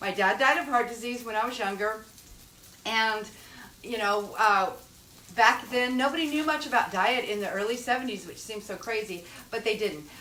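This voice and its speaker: Noticeable background noise and audible room echo surround a woman with a fairly high pitch who talks at a fairly quick pace with ordinary pitch variation. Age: 60s. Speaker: cooking show host. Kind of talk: cooking tutorial. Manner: casual, chatty.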